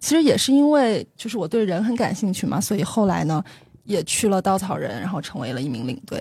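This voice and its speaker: At a fairly quick pace, the voice has a dark, mellow tone with vocal fry and very wide pitch swings. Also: woman, medium pitch for a woman. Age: 30s. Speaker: tour leader with a consumer-research day job. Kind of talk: interview conversation.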